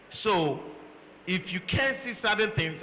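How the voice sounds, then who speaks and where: A man's raised, projected voice, high-pitched for a man, in a strong Nigerian accent, with lively intonation at a fairly slow pace, plus audible room echo and noticeable background noise. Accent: thick Nigerian English. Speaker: panelist, doctor. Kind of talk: panel discussion. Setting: stage with audience.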